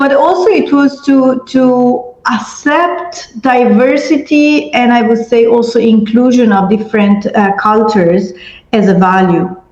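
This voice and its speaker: Against noticeable background noise, a woman with a high pitch and lively intonation speaks at a fairly slow pace, with hardly any pauses and very even loudness. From Italy. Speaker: education and peace-building expert. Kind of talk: panel discussion.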